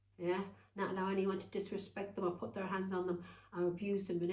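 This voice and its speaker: There is audible room echo as a woman speaks fairly quickly at a medium pitch in a dark, mellow tone. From Ireland. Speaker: tarot reader. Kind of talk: tarot reading livestream. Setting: Facebook live stream at home. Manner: casual, chatty; animated.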